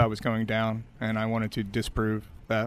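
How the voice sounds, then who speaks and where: A man at a medium pitch speaks with an American accent. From Glen Burnie, Maryland. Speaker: tech company CEO. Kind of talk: interview.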